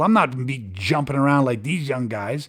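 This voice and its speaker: An animated man speaks in a very clean recording with a silent background. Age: 50s. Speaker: martial arts and self-defence instructor. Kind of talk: podcast monologue.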